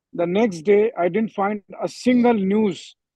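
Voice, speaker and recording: A fairly slow delivery with an Indian accent. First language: Hindi. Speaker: journalist. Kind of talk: panel discussion. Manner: halting, many fillers.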